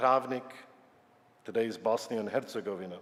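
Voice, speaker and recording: Here a man uses a normal speaking voice with ordinary pitch variation. He talks at a fairly quick pace. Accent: American. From Yugoslavia and New York. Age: 60s. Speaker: retired scientist. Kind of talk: personal talk to congregation.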